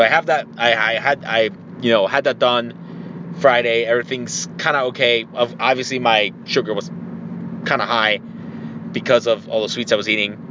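With hardly any pauses, a man talks at a moderate speed against noticeable background noise. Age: 30s. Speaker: podcast host. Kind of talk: casual solo monologue.

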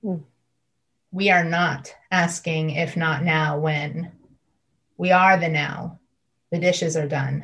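A woman with a very deep, low pitch speaks at a very slow pace, sounding somewhat breathy. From US Midwest, Northeast Ohio. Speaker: faith contributor. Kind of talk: casual faith conversation.

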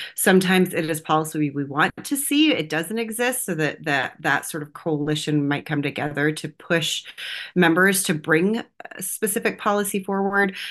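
An unremarkable speaking voice with an American accent moves at a moderate pace with lively intonation over a quiet background. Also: woman, fairly low pitch for a woman. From Texas, US. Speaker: political strategist and activist. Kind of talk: interview.

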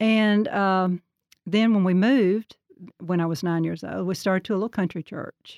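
Fairly even intonation at a moderate pace, with a dry, close sound with no echo on a very clean recording with a silent background. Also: woman, medium pitch for a woman. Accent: Alabama. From Alabama (Birmingham area). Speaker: church choir member. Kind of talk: casual interview.

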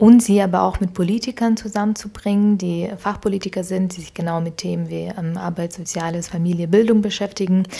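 Somewhat breathy and dark, mellow in tone, a woman of medium pitch speaks at a fairly quick pace with fairly even intonation and big swings in loudness. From Ukraine (Kyiv), then Augsburg, Germany from age 12. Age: 20s. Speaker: founder of a social mobility network. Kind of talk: interview. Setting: living room. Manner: frequent hesitations (ähm, äh).

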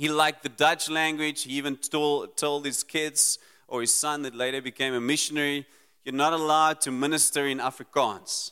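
A man speaks at a moderate pace in a fairly high pitch, with monotone, flat intonation. His bright, sharp tone comes through a dry, close sound with no echo. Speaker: preacher. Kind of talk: sermon.

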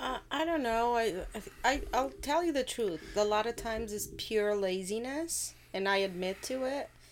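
With a Portuguese accent, a woman talks at a moderate pace with fairly high pitch and lively intonation in a very clean recording with a silent background. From Portugal. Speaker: host's wife, bank employee. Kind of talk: casual chat.

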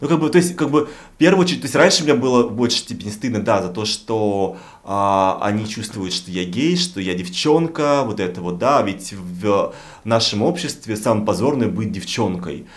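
A man speaks at a moderate pace and a medium pitch, with very wide pitch swings. Audible room echo surrounds his voice. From Russian provinces. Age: 40s. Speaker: podcast co-host. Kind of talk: casual chat.

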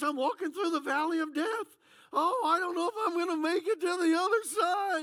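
In a put-on character voice, a woman speaks at a fairly quick pace, extremely high-pitched and strained. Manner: panicked, whiny.

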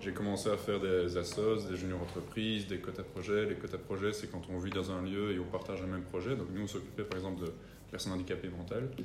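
Delivered at a very fast pace in monotone, flat intonation, the speech carries audible room echo. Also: man, very deep, low pitch for a man. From Belgium, rural area near the three-border point (German-speaking community). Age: 20s. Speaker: entrepreneur.

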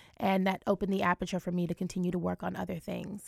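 Recorded very cleanly against a silent background, a woman with an American accent speaks at a medium pitch in a dry, close sound with no echo. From Ohio, US Midwest; Jamaican family. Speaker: cyber and technology lawyer. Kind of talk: radio interview.

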